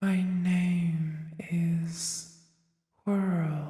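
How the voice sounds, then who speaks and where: In a breathy whisper with clear echo, someone performs a put-on character voice. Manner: whispering.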